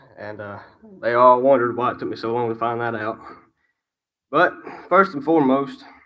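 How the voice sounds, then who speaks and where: A man with a strong Alabama accent speaks at a moderate pace, his medium-pitched voice bright and sharp in tone. Long, frequent pauses break up his speech. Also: big swings in loudness. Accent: strong Alabama Southern. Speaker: graduating student. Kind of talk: graduation speech.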